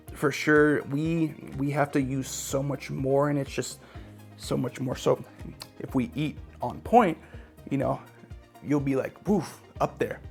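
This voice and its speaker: Music plays in the background. A man talks with long, frequent pauses. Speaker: podcaster. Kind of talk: casual talk to camera. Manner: stutters.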